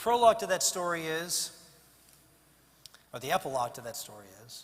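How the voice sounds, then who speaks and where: Over noticeable background noise, a man with an American accent speaks at a high pitch, swinging very widely in pitch and greatly in loudness. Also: fairly quick pace. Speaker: politician giving a keynote speech. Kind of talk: keynote speech to a fundraising banquet audience.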